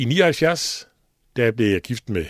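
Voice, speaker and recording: On a very clean recording with a silent background and a dry, close sound with no echo, a man speaks at a very slow pace in a medium pitch. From Denmark, East Jutland. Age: 60s. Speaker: radio station leader and lay preacher. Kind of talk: personal devotional talk. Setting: radio studio.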